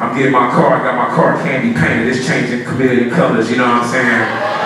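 A man talks at a fairly quick pace. Strong room echo and light background noise fill the recording. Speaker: motivational speaker. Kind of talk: storytelling motivational speech. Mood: humorous, animated anecdote. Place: hall.

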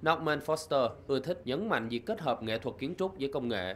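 A man at a very fast pace with lively intonation. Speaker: news reporter. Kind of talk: news reading.

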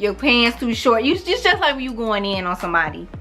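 With a St. Louis accent, a woman speaks at a fairly quick pace with lively intonation while faint music plays in the background. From St. Louis, Missouri. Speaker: beauty vlogger. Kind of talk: casual talk to camera. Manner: casual, chatty. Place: home room. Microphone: camera far.

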